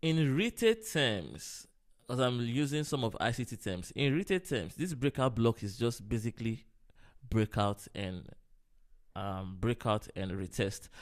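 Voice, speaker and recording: A man speaks fairly slowly in a normal speaking voice of medium pitch, with lively intonation. The recording is very clean, with a silent background. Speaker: forex trader. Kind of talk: live trading tutorial.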